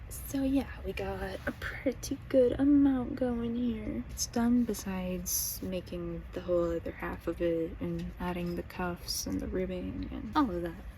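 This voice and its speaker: Quietly and with hardly any pauses, a woman speaks at a fairly slow pace amid noticeable background noise. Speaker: crochet vlogger. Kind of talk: casual vlog talk. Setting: at home at night.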